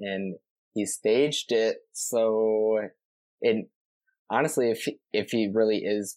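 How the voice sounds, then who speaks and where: Speaking very slowly with long, frequent pauses, a man at medium pitch keeps a fairly even intonation in a dry, close recording with no echo, very clean and with a silent background. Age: 20s. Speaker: nursing assistant. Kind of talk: casual chat.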